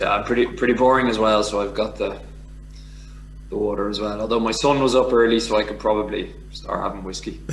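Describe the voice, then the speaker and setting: A man with a Dublin accent talks at a very fast pace over noticeable background noise, with audible room echo. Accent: Irish (Dublin). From Ireland, Dublin. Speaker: former professional rugby player. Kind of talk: casual interview.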